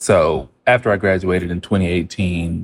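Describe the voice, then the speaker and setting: A relaxed man's voice, very deep and low in pitch. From US South and Midwest, moved often; high school near Dallas, Texas. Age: 20s. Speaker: head distiller. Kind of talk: interview.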